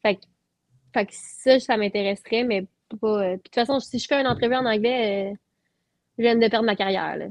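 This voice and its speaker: Speaking fairly quickly in a Quebec accent, a woman uses fairly even intonation, long and frequent pauses, and big swings in loudness, with a dry, close sound and no echo. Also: fairly high pitch for a woman. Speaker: singer-songwriter. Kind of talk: casual interview chat.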